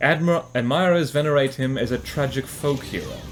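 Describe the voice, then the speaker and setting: The speaker is a man with a South African accent. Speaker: gaming commentator. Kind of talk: gameplay commentary. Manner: casual, reading aloud from wiki.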